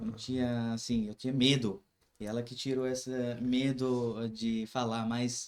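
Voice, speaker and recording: At a fairly slow pace, a man with a medium pitch speaks in a monotone, flat way. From Kashmir. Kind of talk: casual podcast chat.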